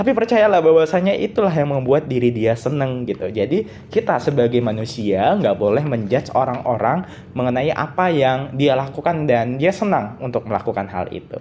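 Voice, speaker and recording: A shrill man's voice, fairly high in pitch, with very wide pitch swings and a fairly quick pace. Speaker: solo podcaster. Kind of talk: solo podcast monologue. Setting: recording at night. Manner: casual, conversational.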